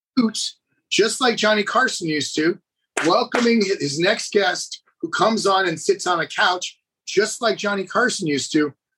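With an American accent, a man projects a raised voice at a high pitch, using a bright, sharp tone, lively intonation and a moderate pace. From Maine, US. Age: 50s. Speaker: celebrity personal trainer. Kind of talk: interview, casual storytelling. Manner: animated, talkative.

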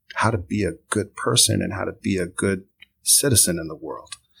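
A man with a plain, everyday voice, fairly low in pitch, with ordinary pitch variation. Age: 40s. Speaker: theater instructor. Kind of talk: casual chat.

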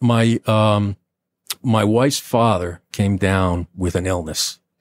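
With an American accent, a man talks at a fairly low pitch and fairly even intonation, recorded with a dry, close sound with no echo over a very clean, silent background. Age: 50s. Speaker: retired police lieutenant. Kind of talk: interview testimony. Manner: halting.

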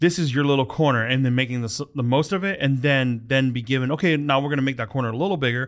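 With an American accent, the speech runs at a very fast pace with hardly any pauses and ordinary pitch variation, on a very clean recording with a silent background. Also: man, medium pitch for a man. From US Midwest, Hmong American family. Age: 30s. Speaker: podcast host. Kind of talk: casual chat. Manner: halting.

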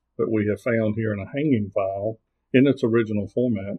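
A man with a normal speaking voice and an American accent, fairly low in pitch, with fairly even intonation. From US South, southern Virginia. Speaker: circuit court clerk, former state trooper. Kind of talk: interview about local records.

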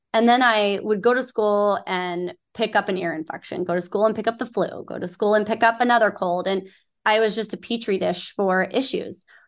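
With an American accent, a woman speaks at a moderate pace with hardly any pauses, her medium pitch and fairly even intonation forming a plain, everyday voice against a quiet background. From Southern California. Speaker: nonprofit board member and hospitality executive. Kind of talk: interview.

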